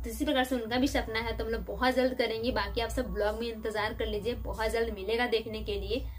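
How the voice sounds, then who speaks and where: At a moderate pace and with hardly any pauses, a woman speaks over faint music in the background. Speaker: vlogger. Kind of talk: casual chat replying to viewer comments. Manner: animated, dramatic delivery. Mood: relaxed and friendly. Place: home room. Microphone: phone near.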